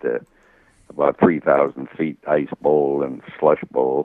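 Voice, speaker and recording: A man with a very deep, low pitch and an American accent. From New York City. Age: 80s+. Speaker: WWII navy veteran and author. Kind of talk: interview. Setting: radio show. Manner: halting.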